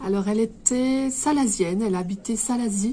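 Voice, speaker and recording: A woman with ordinary pitch variation. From Réunion (Cilaos). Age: 30s. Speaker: embroiderer and shop owner. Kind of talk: interview. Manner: hesitant, many fillers.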